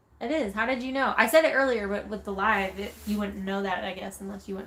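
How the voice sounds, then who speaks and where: A woman with an American accent at a medium pitch and fairly quick pace, ordinary pitch variation, big swings in loudness, and noticeable background noise. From Texas. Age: 20s. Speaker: van life vlogger. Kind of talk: casual chat. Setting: livestream.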